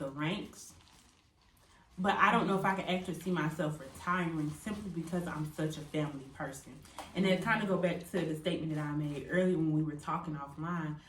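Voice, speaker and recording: A woman keeps to a moderate pace while noticeable background noise plays behind her. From California / St. Louis, Missouri. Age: 20s. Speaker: military service member. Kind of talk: casual group talk to camera.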